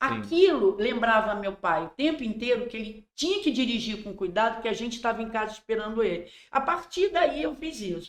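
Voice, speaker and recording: A woman's unremarkable speaking voice, fairly high in pitch, at a moderate pace with hardly any pauses, lively intonation and big swings in loudness. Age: 60s. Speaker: endomarketing consultant. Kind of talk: casual podcast interview.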